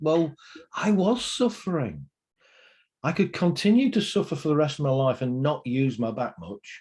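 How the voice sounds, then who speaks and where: Here a man with a British accent speaks at a fairly high pitch, with very wide pitch swings and a somewhat breathy sound. His pace is moderate, and the background is quiet. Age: 60s. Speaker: pain therapy trainer. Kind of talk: interview. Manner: energetic.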